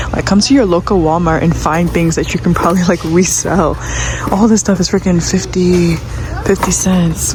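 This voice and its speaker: A woman speaks at a fairly quick pace amid noticeable background noise and audible room echo. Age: 20s. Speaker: vlogger and Airbnb host. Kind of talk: vlog narration while shopping. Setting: in a store. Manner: animated; whispering.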